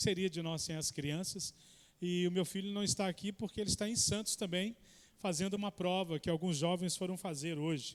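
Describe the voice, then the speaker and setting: In a Minas Gerais accent, a man talks at a fairly quick pace with a high pitch and fairly even intonation. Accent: mineiro. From Minas Gerais, Belo Horizonte. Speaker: guest preacher. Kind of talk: sermon introduction. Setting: church.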